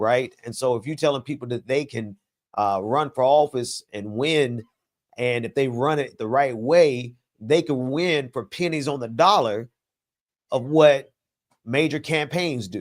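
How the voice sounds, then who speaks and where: The speaker has a Southern US accent and goes at a fairly slow pace with ordinary pitch variation, on a very clean recording with a silent background. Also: man, medium pitch for a man. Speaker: political commentator. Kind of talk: casual chat.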